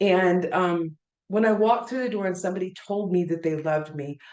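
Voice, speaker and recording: Her tone is animated and her pitch is medium. The woman's pitch varies in an ordinary way. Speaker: community minister. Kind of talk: casual chat. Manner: fast.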